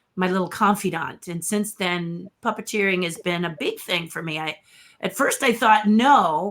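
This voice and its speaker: Ordinary pitch variation in a woman's voice of medium pitch. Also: moderate pace. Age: 60s. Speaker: puppeteer and artist. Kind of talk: interview.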